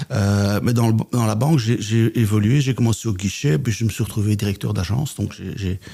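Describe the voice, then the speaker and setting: Here a man speaks with a Belgian accent at a moderate pace. His voice is fairly low, dark and mellow, somewhat breathy, with ordinary pitch variation. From Belgium, Flemish Brabant. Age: 60s. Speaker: business coach and trainer. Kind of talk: podcast interview.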